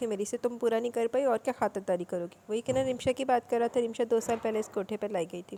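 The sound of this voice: With ordinary pitch variation, the reading voice remains unforced.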